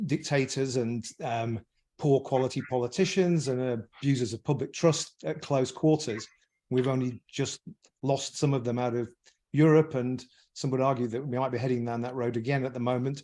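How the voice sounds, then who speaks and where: A man with an English accent and a dark, mellow tone, medium pitch, fairly even intonation and moderate pace, on a very clean recording with a silent background. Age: 60s. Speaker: businessman, podcast panelist. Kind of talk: podcast discussion. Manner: halting.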